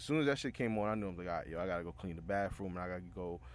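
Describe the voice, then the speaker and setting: A man speaks with an American accent and a very deep, low pitch with vocal fry. His intonation is lively. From New York City (the Bronx). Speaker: podcaster. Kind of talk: casual storytelling. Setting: home basement. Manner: animated.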